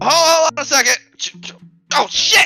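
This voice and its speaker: A high-pitched put-on character voice at a fairly slow pace, with music in the background. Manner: cursing, flustered.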